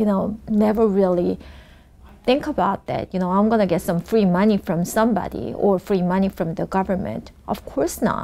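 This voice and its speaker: Her dark, mellow tone sits at a medium pitch as the woman speaks at a moderate pace with ordinary pitch variation. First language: not English. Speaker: congressional candidate. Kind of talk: interview.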